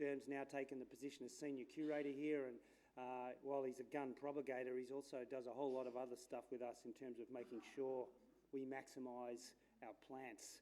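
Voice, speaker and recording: In an Australian accent, a man with a dark, mellow tone speaks at a fairly quick pace with monotone, flat intonation. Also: medium pitch for a man. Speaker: landscape architect. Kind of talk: conference talk. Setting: stage with audience. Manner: casual, hesitant with fillers.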